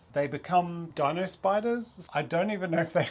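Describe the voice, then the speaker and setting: With an Australian accent, a man speaks at a fairly high pitch and a fairly quick pace. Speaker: toy review YouTuber. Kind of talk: product review. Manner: casual, chatty.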